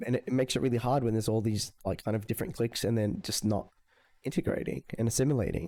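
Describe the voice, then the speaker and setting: Speaking very fast with an Australian accent, a man uses a medium-pitched, dark, mellow tone and ordinary pitch variation. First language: Spanish. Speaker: gamer reacting to videos. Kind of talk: reaction commentary.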